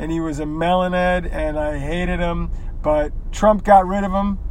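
Noticeable background noise under a man's high-pitched voice, fairly even in intonation, at a moderate pace. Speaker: podcaster. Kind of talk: casual monologue while driving. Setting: in a car.

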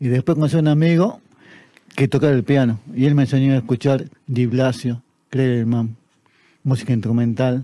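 A man's dark, mellow tone at medium pitch, a moderate pace and fairly even intonation. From Argentina, Tartagal (Salta), northern Argentina. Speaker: poet and literature teacher. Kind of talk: interview.

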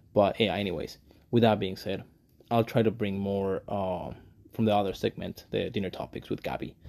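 A man with a Mexican accent talks at a very fast pace. His tone is dark and mellow. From Mexico. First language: Spanish. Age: 20s. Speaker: podcast host. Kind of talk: solo commentary monologue. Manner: animated.

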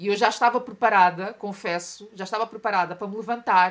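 A woman speaks at a fairly quick pace in a European Portuguese accent. Her intonation stays fairly even on a very clean recording with a silent background. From Portugal. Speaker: journalist and activist. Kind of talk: interview conversation.

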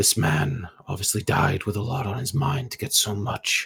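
A man puts on a character voice, fairly low in pitch, at a moderate pace. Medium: actual play. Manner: calm, measured, matter-of-fact.

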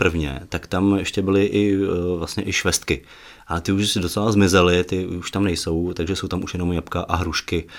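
The background is silent and the recording very clean. A man talks there at a moderate pace. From western Bohemia (Aš). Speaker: archive director and author. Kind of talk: interview. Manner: halting, many fillers.

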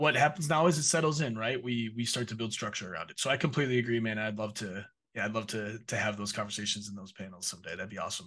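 Very fast delivery with hardly any pauses, an Upper Midwest accent, ordinary pitch variation and a bright, sharp tone against a quiet background. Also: man, medium pitch for a man. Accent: Upper Midwest American. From Minnesota. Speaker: esports partnerships director. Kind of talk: interview.

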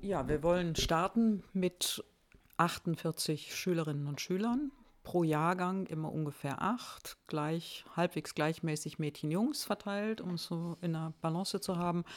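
At a very slow pace, a woman speaks with fairly low pitch and ordinary pitch variation in a very clean recording with a silent background. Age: 60s. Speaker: trained teacher, school founder. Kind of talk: interview.

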